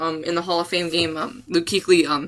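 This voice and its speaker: At a moderate pace, the talking carries on against noticeable background noise. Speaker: sports podcast host. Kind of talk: casual solo podcast. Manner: animated; halting.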